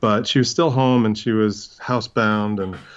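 A man with an American accent has an unremarkable speaking voice. He speaks at a moderate pace against a quiet background. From New York City, Brooklyn. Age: 40s. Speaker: crime novelist. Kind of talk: casual chat.

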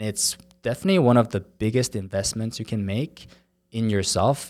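On a very clean recording with a silent background, a man talks at a fairly quick pace. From South Korea. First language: Korean. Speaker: startup founder. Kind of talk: interview. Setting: studio.

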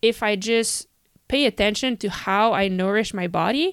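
This is an unremarkable speaking voice from a woman with fairly high pitch and ordinary pitch variation. She talks at a moderate pace, and the sound is dry and close with no echo. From Canada. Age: 30s. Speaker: professional cyclist. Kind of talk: casual interview. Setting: remote call.

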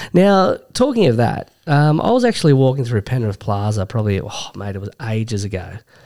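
Speaking with an Australian accent, a man with a medium-pitched voice and a dark, mellow tone talks at a fairly quick pace with lively intonation and hardly any pauses, on a very clean recording with a silent background. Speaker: sports podcast co-host. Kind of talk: casual chat.

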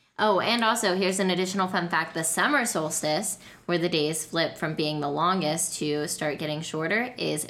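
Amid noticeable background noise, a woman with a fairly low pitch talks with hardly any pauses and ordinary pitch variation. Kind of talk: casual chat.

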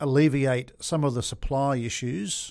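A man talks with an Australian accent at a medium pitch with ordinary pitch variation. The recording is very clean, with a silent background. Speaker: industrial property agent. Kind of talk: interview. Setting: studio. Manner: animated.

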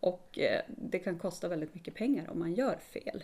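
Her voice has a dark, mellow tone at a medium pitch. The woman talks at a moderate pace. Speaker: small business owner, soap maker. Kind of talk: casual interview chat.

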